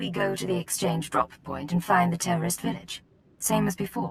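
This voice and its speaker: A put-on character voice at a moderate pace, with fairly even intonation. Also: woman, fairly low pitch for a woman. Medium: video game. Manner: cool, dry.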